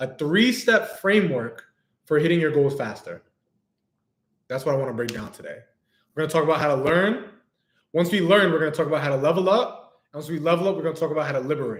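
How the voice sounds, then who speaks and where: A man with an American accent talks very fast at a fairly high pitch, with lively intonation. Long pauses break up his speech often. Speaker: business coach. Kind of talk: livestream talk. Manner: casual, animated.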